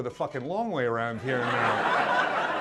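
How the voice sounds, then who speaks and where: In an American accent, a man's pitch swings very widely, with audible room echo and noticeable background noise. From US and Pacific, then Scotland from age twelve. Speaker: comedian. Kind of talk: stand-up. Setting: stage with audience.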